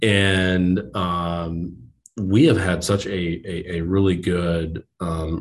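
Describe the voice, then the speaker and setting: A man speaks in a very deep, low voice. His intonation stays flat and monotone. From New Jersey, US. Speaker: bank lending executive. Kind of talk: interview. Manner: halting, many fillers.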